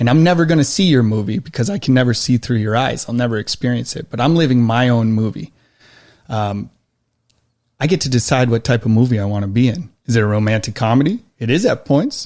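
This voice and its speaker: A man with an American accent at a very fast pace, in a very clean recording with a silent background. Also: medium pitch for a man, ordinary pitch variation. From Western New York. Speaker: army veteran and knife maker. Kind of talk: casual interview.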